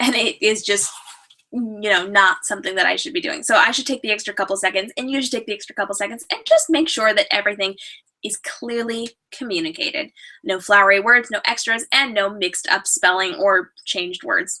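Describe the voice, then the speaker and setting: Bright and sharp in tone, a woman speaks at a fairly high pitch and a fairly quick pace with lively intonation. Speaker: author and writing business coach. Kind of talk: live video show presentation. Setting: live stream with chat. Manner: fast; animated.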